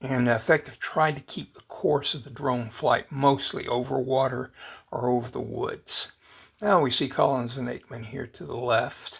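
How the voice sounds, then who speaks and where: A somewhat breathy, medium-pitched male voice with big swings in loudness, fairly even intonation and a moderate pace. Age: old. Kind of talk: casual drone video narration. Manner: hesitant, rambling.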